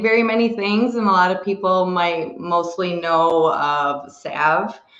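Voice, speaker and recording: Lively intonation marks a woman's fairly slow speech, heard with noticeable background noise. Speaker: cannabis topicals maker. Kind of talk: casual interview.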